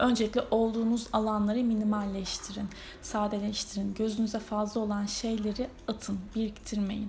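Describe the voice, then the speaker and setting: Amid noticeable background noise, a woman talks at a fairly slow pace. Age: 30s. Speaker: astrology podcaster. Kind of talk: solo podcast monologue. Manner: casual, hesitant with fillers.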